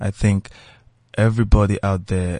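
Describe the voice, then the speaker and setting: With a Nigerian accent, a man talks in a very deep, low voice against a quiet background, the sound dry and close with no echo. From Nigeria, Lagos. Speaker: musician. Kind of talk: casual interview chat.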